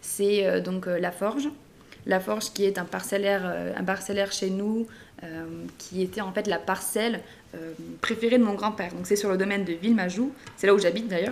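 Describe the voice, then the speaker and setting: The speech runs at a moderate pace with fairly even intonation and long, frequent pauses. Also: woman, medium pitch for a woman. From southern France, Narbonne (Languedoc). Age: 20s. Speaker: wine company creative director. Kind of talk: interview.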